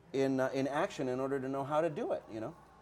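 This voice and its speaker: Speaking with a Spanish accent, a man talks at a very fast pace. His dark, mellow tone sits at a fairly high pitch. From Puerto Rico. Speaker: TV and comics writer. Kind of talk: interview. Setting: comic shop, live-streamed show. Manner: animated.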